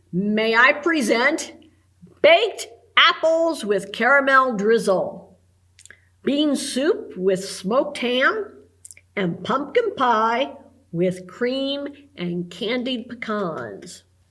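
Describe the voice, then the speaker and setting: A woman's put-on character voice, high-pitched with very wide pitch swings, very slow and broken by long, frequent pauses. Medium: read story.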